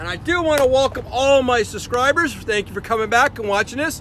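Light background noise sits under a man talking at a fairly quick pace in a dry sound with no echo. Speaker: truck driver vlogger. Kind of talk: casual vlog chat. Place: street. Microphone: phone near.

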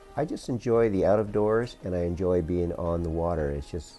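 A man's very deep, low voice at a fairly quick pace, with ordinary pitch variation and faint music in the background. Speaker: sailing class instructor. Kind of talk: interview answer. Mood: relaxed, friendly. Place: office. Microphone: lapel.

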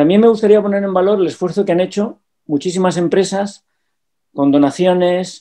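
There is a quiet background behind a man's voice. He has a high pitch, a dark, mellow tone and ordinary pitch variation. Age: 60s. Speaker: businessman. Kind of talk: casual chat. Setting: video call. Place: home room. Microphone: webcam.

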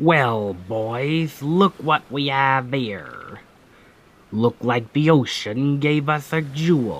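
In a put-on character voice of medium pitch, a man talks at a very slow pace. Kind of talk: ASMR audio roleplay. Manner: commanding, then gentle and reassuring.

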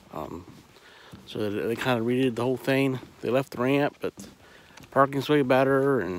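A man at a moderate pace, dry sound with no echo and light background noise. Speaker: local vlogger. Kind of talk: casual vlog chat. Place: waterside. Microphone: phone near.

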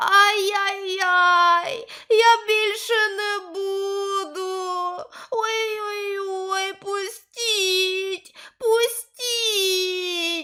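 A woman's shrill, put-on character voice, extremely high-pitched and very slow. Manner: shrill, pleading.

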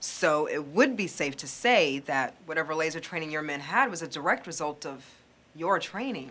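A woman uses a put-on character voice at a low pitch and a moderate pace. Her intonation is lively, her tone fairly bright with a slightly husky edge.

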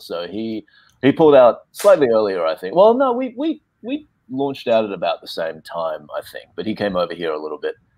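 A man with an Australian accent speaks at a fairly quick pace, the sound dry with no echo against a quiet background. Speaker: actor. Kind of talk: panel discussion. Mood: relaxed, reflective. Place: home room. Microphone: video call.

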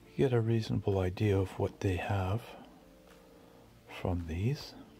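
Faint music in the background behind a man with a fairly low pitch and ordinary pitch variation. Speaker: thrift store tour vlogger. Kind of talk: casual tour commentary. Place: shop. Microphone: phone near.

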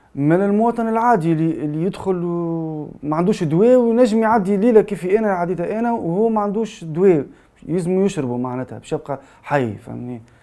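With a Tunisian accent, a man speaks at a moderate pace and high pitch in a dark, mellow tone, with lively intonation, hardly any pauses and a quiet background. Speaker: journalist; journalist giving testimony. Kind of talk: testimony. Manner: halting. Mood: somber, shaken. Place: studio.

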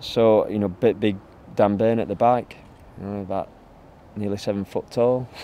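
A man talks at a moderate pace with fairly even intonation. The sound is dry with no echo, over light background noise. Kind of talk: interview answer. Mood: relaxed, occasionally laughing. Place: open country.

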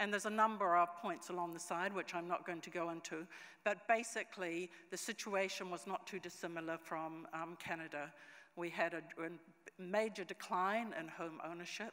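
A woman talks at a moderate pace in a fairly low pitch, her tone bright and sharp. Her intonation is fairly even, and the background quiet. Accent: New Zealand. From New Zealand. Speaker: conference presenter. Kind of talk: conference presentation. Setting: conference stage with audience. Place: hall. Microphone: podium.

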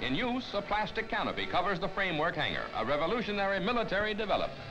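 Over clear music in the background, a man talks at a very fast pace in a raised, projected voice. His pitch is high, with ordinary variation. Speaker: newsreel narrator. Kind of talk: 1950s newsreel narration. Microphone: old recording.

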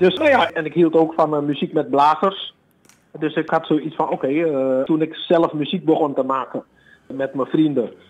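Moderate delivery from a man with a fairly high voice and ordinary pitch movement. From Suriname, Paramaribo, moved to Amsterdam at 12. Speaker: bassist and bandleader. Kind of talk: interview. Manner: hesitant with many fillers.

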